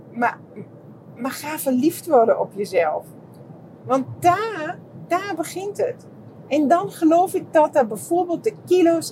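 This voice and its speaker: Amid noticeable background noise, a woman speaks very slowly, with long, frequent pauses. Her pitch is extremely high and swings very widely. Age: 50s. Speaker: podcaster and therapist. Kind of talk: casual monologue. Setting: walking outdoors.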